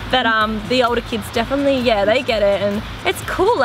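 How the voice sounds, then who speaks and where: Over music in the background and audible room echo, a woman with an Australian accent speaks at a fairly high pitch. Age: 20s. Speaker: DJ and schoolteacher. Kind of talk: interview.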